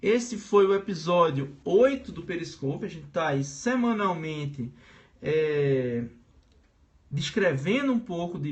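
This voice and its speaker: A high-pitched man's voice with a Pernambuco accent, a fairly slow pace, and audible room echo. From Brazil, Pernambuco. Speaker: teacher. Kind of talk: live-streamed lecture. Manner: casual, hesitant with filler sounds.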